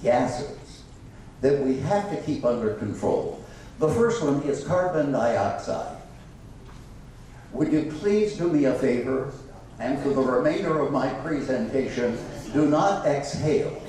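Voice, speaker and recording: A man's fairly high voice with lively intonation, very even loudness and long, frequent pauses, amid noticeable background noise and audible room echo. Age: 70s. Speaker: guest speaker, activist and former radio talk show host. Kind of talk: public talk to a breakfast meeting. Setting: stage with live audience at a country club.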